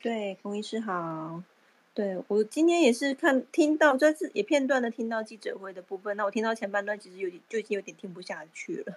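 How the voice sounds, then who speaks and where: An ordinary speaking voice moves at a fairly quick pace with lively intonation. Its loudness swings widely. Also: woman, fairly high pitch for a woman. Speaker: Clubhouse participant. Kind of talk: casual chat.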